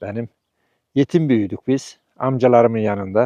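A man speaks very slowly in a dark, mellow tone with ordinary pitch variation. The recording is dry and close, with no echo. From Turkey, Sivas province village. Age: 60s. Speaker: retired construction worker, villager. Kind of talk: casual interview testimony.

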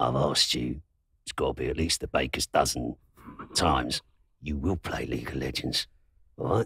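Very deep, raspy put-on character voice from a man in a London accent, at a moderate pace with long, frequent pauses, dry and close with no echo. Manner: scolding, exasperated.

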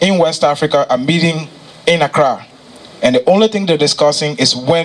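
A man speaks fairly quickly in a high pitch, with ordinary pitch variation. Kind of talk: presentation speech. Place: hall. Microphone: handheld.

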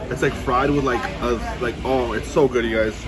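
A man speaks at a moderate pace. Background noise is noticeable. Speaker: food vlogger. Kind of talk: casual vlog chat. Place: hall. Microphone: phone near.

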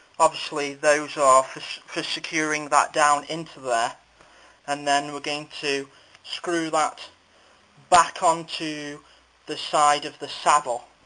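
Speaking at a very slow pace with long, frequent pauses, a man keeps a monotone, flat intonation. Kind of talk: tutorial. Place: workshop. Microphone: phone near.

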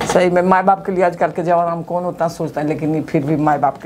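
Over light background noise, a woman talks with fairly even intonation at a fairly low pitch. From Bihar, Patna; Bihar. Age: 60s. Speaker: patient. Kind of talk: testimony. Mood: grateful, emotional. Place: office.

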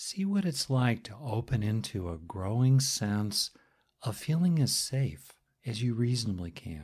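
A man's medium-pitched, somewhat breathy voice, calm and soothing, at a fairly slow pace with very wide pitch swings, on a very clean recording over a silent background. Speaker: guided meditation teacher. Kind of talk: guided meditation. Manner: slow, calm, soothing; pausing often with long silences between phrases.

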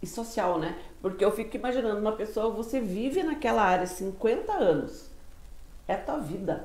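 Speaking at a moderate pace, a woman uses lively intonation and a fairly high pitch, with audible room echo around her. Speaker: interviewer, portal host. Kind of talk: casual interview. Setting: studio. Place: studio. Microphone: lapel.

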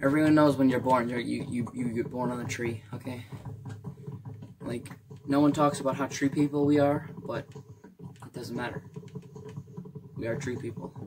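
The pace is moderate, broken by long, frequent pauses, with noticeable background noise. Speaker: gamer. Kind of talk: casual gameplay commentary. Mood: playful, goofy. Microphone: phone near.

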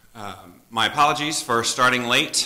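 A man's bright, sharp voice with ordinary pitch variation. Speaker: pastor leading worship. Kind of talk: worship announcements and prayer concerns. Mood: somber, concerned. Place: church.

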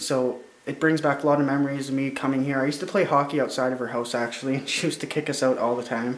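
Audible room echo surrounds a man speaking at a very fast pace. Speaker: vlogger exploring an abandoned house. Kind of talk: casual vlog chat. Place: empty room. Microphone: phone near.

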